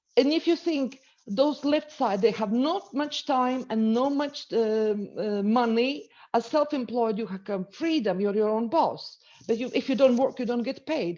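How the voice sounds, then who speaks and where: A woman with a Latvian accent, a dark, mellow tone and a high pitch, at a fairly slow pace with ordinary pitch variation, over a quiet background. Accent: non-native, Latvian. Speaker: entrepreneur and business coach. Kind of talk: webinar presentation. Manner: halting.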